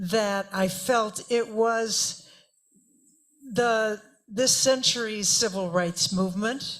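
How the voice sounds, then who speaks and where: Over music in the background, a woman with an American accent and a fairly high pitch speaks very slowly with fairly even intonation and long, frequent pauses. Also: very even loudness. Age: 70s. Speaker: audience member. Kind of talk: audience question.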